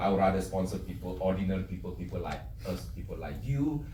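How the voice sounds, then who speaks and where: A man's fairly quick speech with very wide pitch swings and audible room echo. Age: 60s. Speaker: direct sales business leader. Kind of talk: motivational business talk. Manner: hesitant, many fillers.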